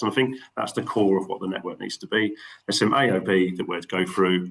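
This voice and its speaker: With a Cockney accent, a man talks at a very fast pace with ordinary pitch variation. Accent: London Cockney. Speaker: network meeting chair. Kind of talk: online meeting. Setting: video call.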